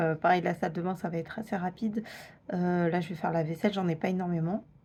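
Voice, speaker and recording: A woman speaks at a very fast pace with a somewhat breathy, medium-pitched voice. The recording is very clean, with a silent background. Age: 20s. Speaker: vlogger. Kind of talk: casual vlog talk. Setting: at home. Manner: hesitant, many fillers; whispering.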